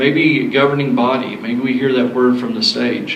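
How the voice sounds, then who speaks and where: A Southern US accent at a moderate pace with ordinary pitch variation, amid audible room echo and noticeable background noise. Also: man. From US South. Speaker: sound system technician. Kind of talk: seminar talk.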